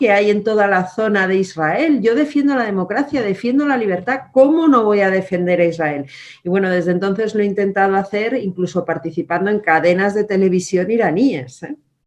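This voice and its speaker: A woman at medium pitch with lively intonation and a moderate pace. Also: hardly any pauses. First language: German (speaking Spanish). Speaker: politician. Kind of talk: interview.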